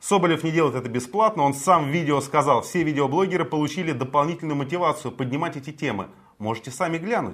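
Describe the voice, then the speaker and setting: Fairly high-pitched with lively intonation, a man talks at a fairly quick pace. His is an ordinary speaking voice. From Moscow, Russia. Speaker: morning political show co-host. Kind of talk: casual political talk show.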